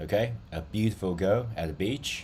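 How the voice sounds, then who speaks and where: Speaking with a non-native accent, a man sounds somewhat breathy and uses lively intonation. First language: not English. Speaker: digital art and AI tutorial creator. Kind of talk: tutorial. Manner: slow, deliberate; hesitant, many fillers.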